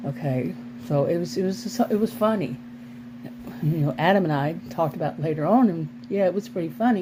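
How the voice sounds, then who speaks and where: A woman's fairly low voice with very wide pitch swings, a fairly quick pace, long, frequent pauses, and noticeable background noise. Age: 60s. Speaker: vlogger, former sociology teacher. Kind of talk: casual vlog monologue. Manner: halting, with frequent restarts.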